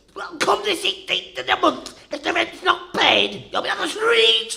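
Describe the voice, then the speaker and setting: Putting on a character voice, a man speaks at a moderate pace with extremely high pitch and very wide pitch swings. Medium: audio drama. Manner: nagging, giggly.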